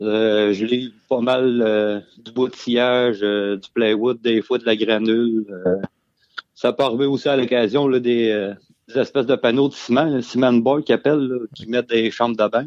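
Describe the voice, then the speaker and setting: With a plain, everyday voice, a man speaks at a fairly slow pace in a medium pitch, his intonation fairly even. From Quebec, Beauce. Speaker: truck driver. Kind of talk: casual chat. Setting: remote call from home.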